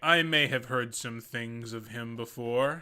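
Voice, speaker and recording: A man puts on a character voice at a medium pitch, talking fairly slowly. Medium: actual play.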